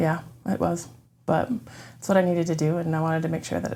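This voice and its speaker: Speaking at a fairly quick pace, a woman has a fairly low pitch, a dark, mellow tone, vocal fry and ordinary pitch variation. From Florida, Orlando. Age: 40s. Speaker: church member sharing her story. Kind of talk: testimony interview. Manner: hesitant, many ums.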